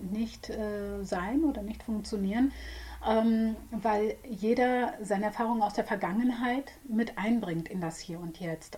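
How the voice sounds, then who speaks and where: A woman with ordinary pitch variation against noticeable background noise. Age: 40s. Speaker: psychotherapist. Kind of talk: casual chat. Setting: studio.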